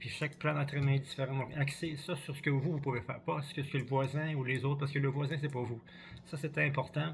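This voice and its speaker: Somewhat breathy and fairly high-pitched, a man talks very fast in a flat, monotone delivery. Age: 60s. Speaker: cross-country ski coach. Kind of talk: vlog tutorial. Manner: halting, repetitive.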